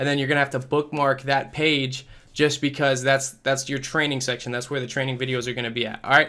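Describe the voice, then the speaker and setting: A man speaks at a very fast pace in a bright, sharp tone. His intonation is monotone and flat. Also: medium pitch for a man. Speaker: affiliate marketer, online course creator; online course creator. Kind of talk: product walkthrough tutorial. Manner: stumbling, stuttering at times.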